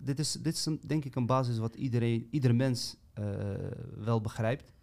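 This man speaks at a medium pitch. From Amsterdam, Netherlands. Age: 30s. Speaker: podcast co-host. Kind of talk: casual chat.

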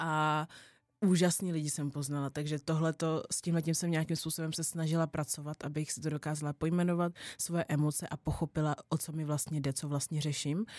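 A woman's very deep, low voice at a fairly quick pace, with a dry, close sound and no echo. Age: 20s. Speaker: podcast host. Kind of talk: casual monologue. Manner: animated.

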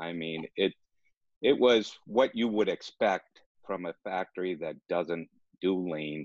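A man with a very deep, low voice speaks at a fairly slow pace with fairly even intonation, recorded with a dry, close sound, no echo and a quiet background. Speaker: business coach. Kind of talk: interview.

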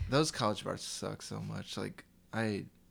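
At a fairly slow pace, a man talks with fairly low pitch and ordinary pitch variation. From US Midwest, Chicago. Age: 20s. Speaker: guest. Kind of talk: casual chat.

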